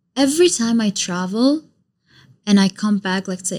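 A woman speaks with an Arabic accent. Her voice is somewhat breathy. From Iraq. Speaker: YouTuber and content creator. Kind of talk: casual chat. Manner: animated.

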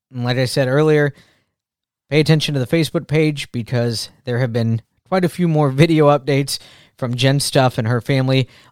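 A man speaks at a medium pitch with fairly even intonation in a normal speaking voice. The recording is very clean with a silent background and a dry, close sound with no echo. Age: 40s. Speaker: podcast host. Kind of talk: casual podcast monologue. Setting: home recording.

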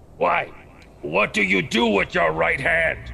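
A man puts on a raspy character voice at a medium pitch. He goes at a fairly slow pace over clear background noise. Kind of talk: comic overacting. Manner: broken caveman grammar, blunt.

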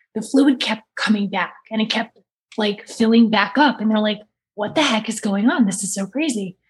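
Somewhat breathy, a woman speaks at a fairly high pitch and moderate pace with ordinary pitch variation. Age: 30s. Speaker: author and abuse survivor. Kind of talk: casual chat. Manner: pushed, effortful delivery.

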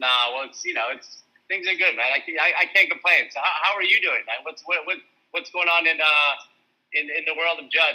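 Upbeat in tone, a man talks at a fairly quick pace. His voice is high-pitched, with a bright, sharp tone. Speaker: entrepreneur. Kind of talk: casual chat. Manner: halting, many fillers.

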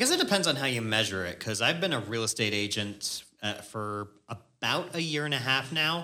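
A man's normal speaking voice, medium-pitched with lively intonation, at a fairly quick pace with hardly any pauses. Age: 20s. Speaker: podcast host, real estate agent. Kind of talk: casual chat.

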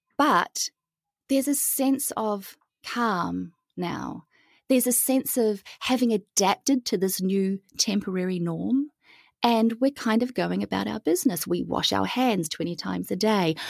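A woman speaks at a fairly slow pace with a New Zealand accent. The recording is very clean with a silent background, dry and close with no echo. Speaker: holistic well-being educator. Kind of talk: podcast interview.

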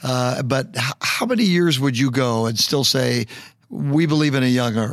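This man talks at a moderate pace with medium pitch in a plain, everyday voice. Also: ordinary pitch variation, very even loudness. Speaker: pastor and podcast host. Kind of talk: interview.

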